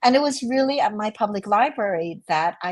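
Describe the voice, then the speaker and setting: A woman is speaking. She has an American accent. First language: Chinese. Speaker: novelist. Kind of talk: interview conversation.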